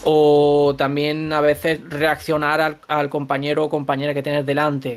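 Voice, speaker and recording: In a very clean recording with a silent background, a man with a fairly high pitch talks at a fairly slow pace in a monotone, flat intonation. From Andalusia, Granada (Spain). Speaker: voice actor. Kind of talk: interview.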